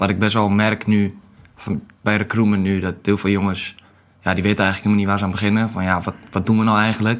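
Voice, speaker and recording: Speaking at a very fast pace, a man keeps a fairly low pitch and flat, monotone intonation. The recording is very clean with a silent background. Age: 20s. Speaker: marine recruiter. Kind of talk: podcast interview. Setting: studio.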